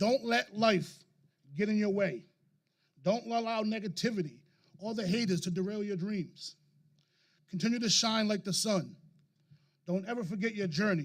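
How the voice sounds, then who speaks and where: A man with a high voice for a man speaks with ordinary pitch variation and long, frequent pauses. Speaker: high school principal. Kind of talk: graduation speech. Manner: fast.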